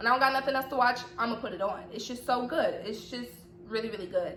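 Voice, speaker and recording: In a slight Southern US accent, a woman with a high-pitched voice speaks in an animated tone, with audible room echo and noticeable background noise. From US South, Atlanta, Georgia. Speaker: YouTuber. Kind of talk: casual vlog chat.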